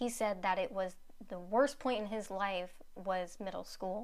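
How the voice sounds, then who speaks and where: A woman speaks at a fairly slow pace and medium pitch, with audible room echo around her. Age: 20s. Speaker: guest speaking on ADHD. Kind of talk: casual chat.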